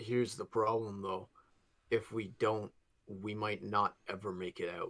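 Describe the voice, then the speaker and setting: A raspy put-on character voice moves along at a moderate pace. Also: man, fairly low pitch for a man. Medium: actual play. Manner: hesitant, halting.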